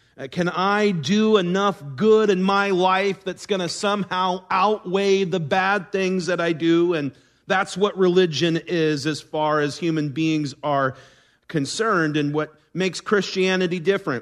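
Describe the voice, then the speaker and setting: At a fairly slow pace, a man talks in a high pitch with fairly even intonation. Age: adult. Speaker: pastor. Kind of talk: sermon.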